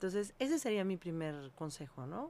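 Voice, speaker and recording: A woman's medium-pitched voice at a moderate pace, with very wide swings in pitch, on a very clean recording against a silent background. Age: 50s. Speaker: holistic health consultant. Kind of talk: interview.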